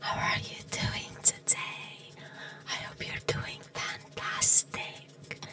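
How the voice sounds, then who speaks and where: A woman whispers while music plays in the background. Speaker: ASMR artist. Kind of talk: ASMR trigger word repetition. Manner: whispered. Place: home room.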